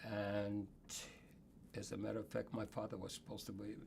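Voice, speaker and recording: A man talks at a fairly quick pace with a fairly low pitch. Vocal fry runs through his voice. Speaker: Holocaust survivor. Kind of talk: interview answer.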